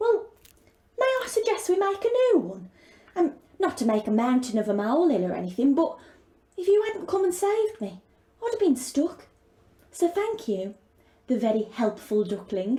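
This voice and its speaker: A woman puts on a character voice, pitched high and swinging very widely. She moves at a moderate pace, with long, frequent pauses. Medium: read story.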